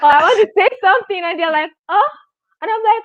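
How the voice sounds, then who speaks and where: A woman is speaking. Her voice is extremely high. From Nigeria. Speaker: student and YouTuber. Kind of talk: live stream interview. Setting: live stream.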